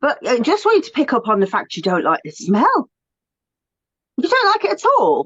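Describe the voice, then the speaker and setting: Speaking in a British accent, a woman keeps a moderate pace. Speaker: essential oil teacher, co-host. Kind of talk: casual discussion. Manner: animated.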